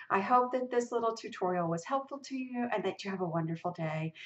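Her pitch varies in an ordinary way. The surroundings stay quiet. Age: 60s. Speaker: lifestyle blogger and video creator; lifestyle blogger, video creator. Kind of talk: tutorial. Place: home room. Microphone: webcam.

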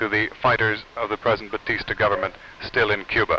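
A man is speaking. His pace is moderate. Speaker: TV news reporter. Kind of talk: 1950s TV news report, formal broadcast delivery. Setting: TV news report, on location interviews. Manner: formal, measured, authoritative.

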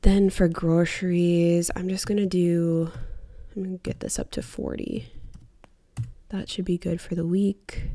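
A woman's fairly low, dark and mellow voice with an American accent, monotone and flat, at a very slow pace with long, frequent pauses against a quiet background. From US Midwest. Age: 30s. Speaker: personal finance YouTuber. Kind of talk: casual tutorial vlog. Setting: home recording, close to mic. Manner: rambling; casual with frequent fillers.

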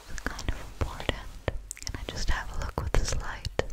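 The woman speaks softly. Every word comes as a whisper. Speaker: ASMR creator. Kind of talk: soft ASMR roleplay talk. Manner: soft close-mic ASMR whisper. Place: home room. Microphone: studio mic.

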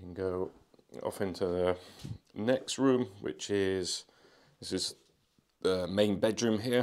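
A man talks at a very slow pace with ordinary pitch variation. The recording is very clean, and the background is silent. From England. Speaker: travel vlogger. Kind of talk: walking tour vlog. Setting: walking through building, partly outdoors.

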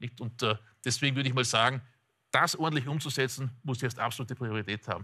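A man with an Austrian accent, very fast pace, bright, sharp tone and fairly even intonation against a quiet background. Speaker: economist. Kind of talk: expert interview. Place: studio. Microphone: lapel.

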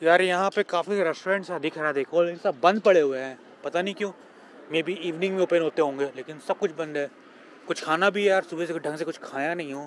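This man's voice is high in pitch, with fairly even intonation at a moderate pace. There is light background noise, and the sound is dry with no echo. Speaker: travel vlogger. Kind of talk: casual vlog chat. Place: street. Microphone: phone near.

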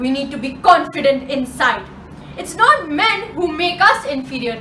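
Over light background noise and with audible room echo, a woman speaks in an angry tone with a raised, projected voice at a fairly slow pace. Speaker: slam poet. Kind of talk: slam poetry performance. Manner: angry, forceful. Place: home room. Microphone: camera far.

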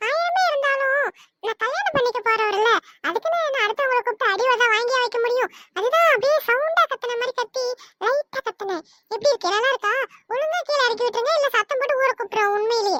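A woman's put-on character voice, squeaky and extremely high-pitched, at a moderate pace with a dry, close sound and no echo. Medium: audio drama. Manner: scolding, quick.

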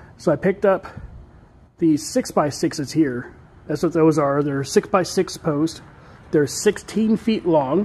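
A man talks at a fairly slow pace with ordinary pitch variation. Long, frequent pauses break up his speech. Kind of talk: casual vlog chat. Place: garage.

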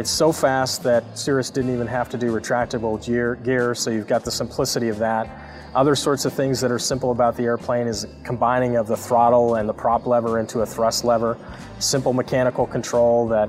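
Over faint music in the background, a man talks at a fairly quick pace with monotone, flat intonation. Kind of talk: interview answer.

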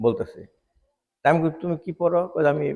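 This man speaks at a fairly high pitch. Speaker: retired doctor and chief guest. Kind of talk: public speech at religious gathering. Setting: outdoor madrasa grounds with audience. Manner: halting.

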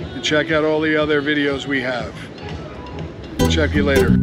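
A man talks at a moderate pace, and the sound is dry with no echo. Clear music runs in the background. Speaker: travel vlogger. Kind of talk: casual vlog chat. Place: street. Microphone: phone near.

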